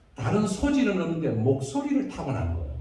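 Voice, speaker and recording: In an animated tone, a man speaks amid noticeable background noise and audible room echo. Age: old. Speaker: retired pastor. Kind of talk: sermon. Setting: church.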